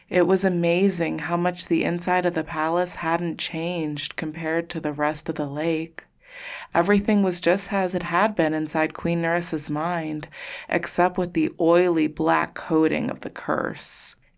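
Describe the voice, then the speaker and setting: A woman speaks in a fairly low pitch with monotone, flat intonation. The recording is very clean, with a silent background. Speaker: author and audiobook narrator. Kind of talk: fantasy audiobook reading, scripted narration. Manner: slow, measured, hushed and atmospheric storytelling.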